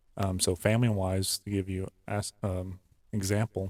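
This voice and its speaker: A man mumbles in a fairly low voice with a monotone, flat delivery. The sound is dry and close, with no echo. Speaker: podcast co-host. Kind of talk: casual chat. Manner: mumbling.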